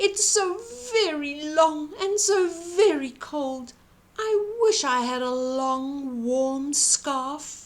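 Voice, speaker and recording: A woman's put-on character voice, high in pitch, with lively intonation at a very slow pace. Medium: read story.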